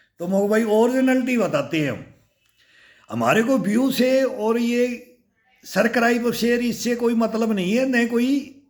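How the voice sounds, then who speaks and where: His voice sits extremely high, moving up and down in a normal, everyday manner. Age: 60s. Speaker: fitness YouTuber, army veteran. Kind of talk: casual vlog talk. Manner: animated.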